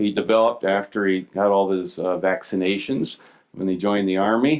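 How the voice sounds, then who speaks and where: At a moderate pace, a man speaks at a fairly low pitch in a normal speaking voice. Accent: American. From Missouri, US Midwest. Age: 60s. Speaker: physician. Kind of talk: conference lecture. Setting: stage with audience. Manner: casual, with many fillers and restarts.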